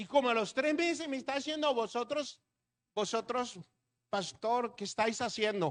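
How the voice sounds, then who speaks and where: At an extremely high pitch, a man talks at a fairly slow pace with ordinary pitch variation. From Colombia, Atlantic coast. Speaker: pastor. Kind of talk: sermon.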